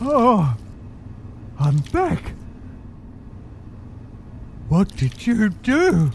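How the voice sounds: This man uses a put-on character voice, pitched high with vocal fry. He talks at a very slow pace, and his pitch swings very widely.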